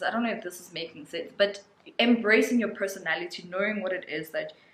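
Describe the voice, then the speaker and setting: Noticeable background noise behind a woman's speech, pitch varying in an ordinary way. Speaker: lifestyle vlogger. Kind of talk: casual vlog monologue. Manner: loud; animated.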